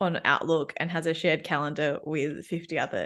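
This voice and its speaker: A woman with an Australian accent, fairly low in pitch, at a moderate pace with fairly even intonation against a quiet background. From Australia, Melbourne. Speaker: workplace coach. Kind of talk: casual chat.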